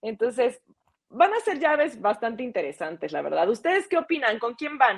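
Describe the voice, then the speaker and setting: Speaking with a Mexican accent, a woman uses a high voice with very wide pitch swings at a moderate pace. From Mexico. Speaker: TV sports presenter. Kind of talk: casual sports talk show.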